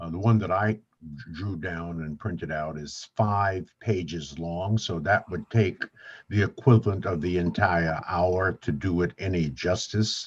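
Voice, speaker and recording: Talking at a fairly slow pace, a man has a very deep, low pitch and big swings in loudness. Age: 70s. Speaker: networking author and livestream host. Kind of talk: livestream guest introduction. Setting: livestream.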